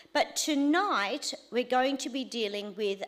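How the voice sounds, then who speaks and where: Her voice is loud. The woman's intonation is lively. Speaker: church teacher leading a course. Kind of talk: teaching session.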